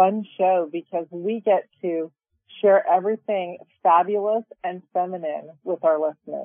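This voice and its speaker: A woman speaks at a fairly slow pace in an ordinary speaking voice. Her pitch is medium, with ordinary variation. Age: 50s. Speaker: podcast co-host, self-love teacher. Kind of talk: casual chat.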